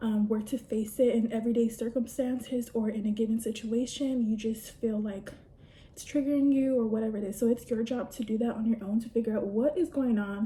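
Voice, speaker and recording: With a dark, mellow tone, a woman speaks at a fairly high pitch, somewhat breathy, with fairly even intonation. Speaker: beauty vlogger. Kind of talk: casual chat while doing makeup.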